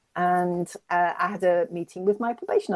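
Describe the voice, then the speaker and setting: A woman speaks at a moderate pace in an English accent. The background is quiet. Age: 60s. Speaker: climate campaigner. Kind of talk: interview. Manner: hesitant.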